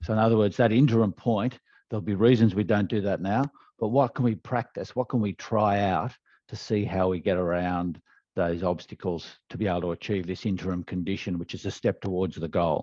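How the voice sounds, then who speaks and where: A man with an Australian accent, fairly low pitch, ordinary pitch variation, and a fairly quick pace. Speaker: leadership development trainer. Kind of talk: interview answer.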